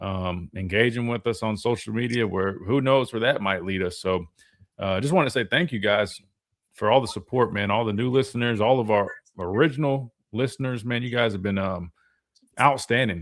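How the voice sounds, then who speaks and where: His pitch sits in the medium range, and this man varies it in an ordinary way. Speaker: sports talk host and former football linebacker. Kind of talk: live sports talk show. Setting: radio studio, live stream. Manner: fast; casual, filler-heavy.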